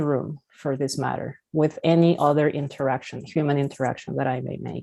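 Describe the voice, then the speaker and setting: Speaking with a Spanish accent, a woman uses a very deep, low pitch and a dark, mellow tone. Her pace is fairly quick and her intonation fairly even. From Peru. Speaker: therapist. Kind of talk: lecture.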